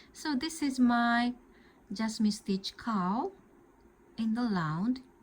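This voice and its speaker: With a Japanese accent, a woman speaks at a fairly high pitch, somewhat breathy, with ordinary pitch variation. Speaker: crochet tutor. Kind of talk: tutorial. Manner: halting.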